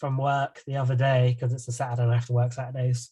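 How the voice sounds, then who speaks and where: A man talks at a very fast pace and a medium pitch. His voice is somewhat breathy. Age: 30s. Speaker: podcast host. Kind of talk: casual chat.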